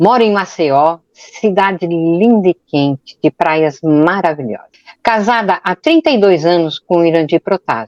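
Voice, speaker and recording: A woman with a plain, everyday voice speaks at a fairly slow pace, fairly low in pitch, with lively intonation and hardly any pauses. Her loudness is very even, and the sound is dry and close with no echo. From São Paulo, Brazil. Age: 60s. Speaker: podcast co-host. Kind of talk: self-introduction in podcast.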